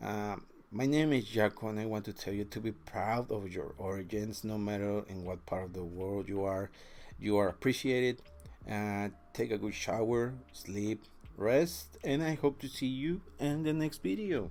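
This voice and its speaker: Lively in intonation, a man with a fairly low pitch and a Spanish accent speaks at a moderate pace. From Mexico. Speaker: vlogger. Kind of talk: personal storytelling. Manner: halting, many fillers.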